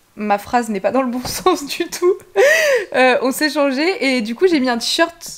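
A woman's high-pitched voice at a very slow pace. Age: 20s. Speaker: pony vlogger. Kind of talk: travel vlog. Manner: casual, hesitant with many fillers. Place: home room. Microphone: phone near.

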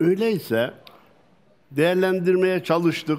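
A man's voice at a very slow pace. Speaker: religious scholar. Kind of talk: religious talk. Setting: outdoors. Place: stage. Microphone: headset.

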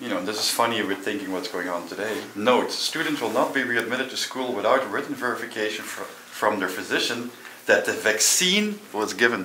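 At a fairly quick pace, a man speaks with ordinary pitch variation, audible room echo and light background noise. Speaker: local guide explorer. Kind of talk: casual exploration chat. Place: classroom.

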